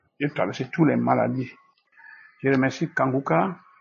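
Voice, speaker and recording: A man's somewhat breathy voice at a medium pitch. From Cameroon. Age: 70s. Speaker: testimony giver, believer. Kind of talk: testimony.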